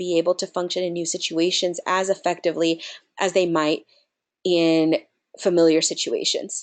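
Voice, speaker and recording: Moderate pace over a quiet background. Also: woman. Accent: Spanish. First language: Spanish. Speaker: nonprofit program director. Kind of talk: webinar presentation.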